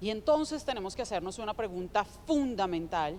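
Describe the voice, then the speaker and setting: A woman with a Colombian accent, medium-pitched, lively in intonation, at a moderate pace. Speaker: digital development founder, panelist. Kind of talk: conference talk.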